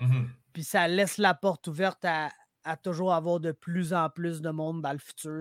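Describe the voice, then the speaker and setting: A man with a Quebec accent talks at a moderate pace in a high pitch. The recording is very clean and silent in the background, with a dry, close sound and no echo. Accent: Québécois French. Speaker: MMA commentator. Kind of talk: casual chat.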